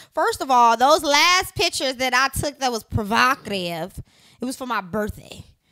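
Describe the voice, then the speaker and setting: A woman's high-pitched, raised and projected voice, bright and sharp in tone, with very wide pitch swings at a moderate pace against a quiet background. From US Midwest. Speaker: reality TV personality and entertainer. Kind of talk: casual chat. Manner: casual, laughs often. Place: home room. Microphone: handheld.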